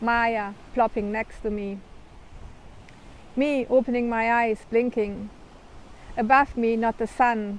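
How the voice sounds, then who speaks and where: Fairly high in pitch, a woman speaks with a German accent. Her intonation is monotone and flat. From Germany. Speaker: author. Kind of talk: reading aloud.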